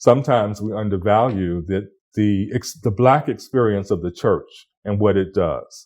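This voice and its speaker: With a plain, everyday voice, a man talks at a moderate pace and fairly low pitch, his intonation fairly even. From Florida, USA. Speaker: cultural heritage leader. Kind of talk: oral history interview answer.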